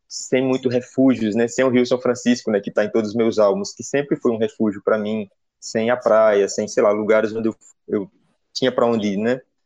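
A fairly quick pace and a dry, close sound with no echo. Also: man. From Pernambuco, Brazil (Petrolina). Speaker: singer-songwriter and pianist. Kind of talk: interview talk about his album. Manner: hesitant, many fillers.

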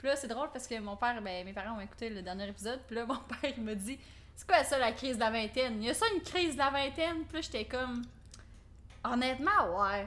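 A woman with a Quebec accent talks at a very fast pace in a high pitch, with a bright, sharp tone. Her intonation is lively, and her loudness swings a lot. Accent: Québécois French. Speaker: podcast co-host. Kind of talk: casual chat.

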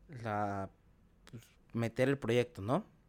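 Here a man talks at a fairly slow pace. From Mexico, Chiapas. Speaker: podcaster and content creator. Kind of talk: casual chat.

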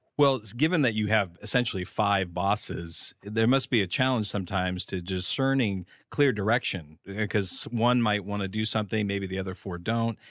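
In an ordinary speaking voice, a man with a fairly low pitch and ordinary pitch variation talks at a moderate pace with hardly any pauses, on a very clean recording with a silent background. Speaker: podcast host and government communications manager. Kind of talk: interview.

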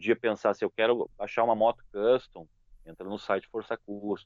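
A man has an unremarkable speaking voice at a fairly low pitch. He talks at a moderate pace with fairly even intonation. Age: 40s. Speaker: motorcycle YouTuber. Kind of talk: casual interview chat.

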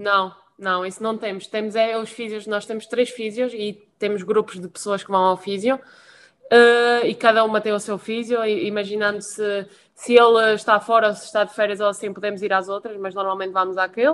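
The speaker keeps a moderate pace in a monotone, flat intonation. Loudness swings widely. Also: woman, medium pitch for a woman. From Madeira, Portugal. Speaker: professional handball player. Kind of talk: casual chat.

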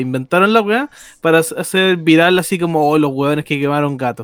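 A man talks at a moderate pace. His voice is fairly high, with ordinary pitch variation. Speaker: podcast co-host. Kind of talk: casual chat.

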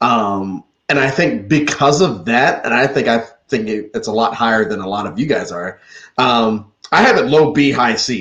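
In an unremarkable speaking voice, a man talks at a moderate pace and a medium pitch with lively intonation. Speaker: podcast host. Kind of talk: casual group discussion.

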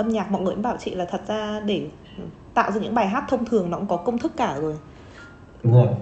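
Over music in the background, a woman's voice makes very wide pitch swings. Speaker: podcast host. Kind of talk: casual chat.

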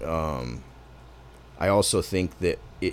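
Vocal fry marks this man's very deep, low voice. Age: 30s. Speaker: podcast host. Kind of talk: casual chat.

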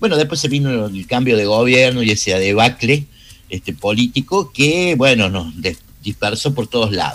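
With lively intonation at a moderate pace, a man talks in a plain, everyday voice of medium pitch. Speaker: radio producer and host. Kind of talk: radio interview.

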